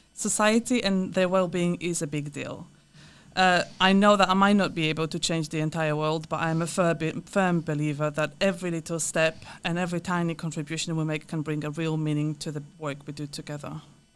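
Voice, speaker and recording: Fairly low-pitched woman with a Polish accent, fairly even intonation and a fairly quick pace, on a very clean recording with a silent background. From Poland. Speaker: counselor and therapist. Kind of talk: podcast interview.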